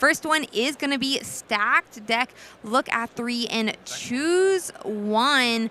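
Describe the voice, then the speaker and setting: Loud and very slow, a woman speaks in a high, bright, sharp voice with ordinary pitch variation. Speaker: esports caster. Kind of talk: live commentary. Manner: naturally loud.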